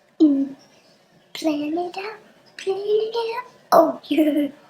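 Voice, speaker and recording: The voice is a put-on character voice, very slow and extremely high in pitch. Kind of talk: comic overacting. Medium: fan dub. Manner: playful, goofy.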